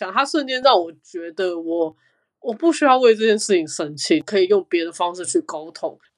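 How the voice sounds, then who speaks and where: In a very clean recording with a silent background, a woman talks at a moderate pace with very wide pitch swings. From Taiwan. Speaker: digital learning designer. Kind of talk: casual chat.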